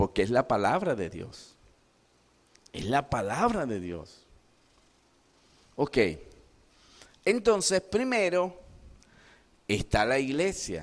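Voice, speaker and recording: At a very slow pace, a man speaks with a fairly high pitch and very wide pitch swings. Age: 60s. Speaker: pastor. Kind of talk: sermon. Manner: animated.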